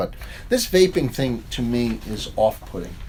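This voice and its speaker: At a moderate pace, a man speaks with a slight New York accent. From New York, Long Island. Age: 60s. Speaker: professor and author. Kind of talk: interview. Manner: casual, conversational.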